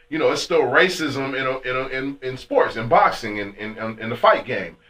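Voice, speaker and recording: With an American accent, a man speaks at a fairly quick pace in a fairly high pitch, his tone animated and his intonation lively. Noticeable background noise runs underneath. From California, Fresno. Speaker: radio host. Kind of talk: casual chat.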